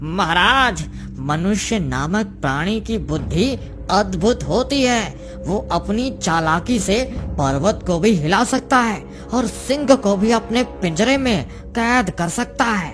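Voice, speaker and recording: A cartoonish character voice speaks at a fairly slow pace as clear music plays in the background. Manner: respectful, addresses judge as lord.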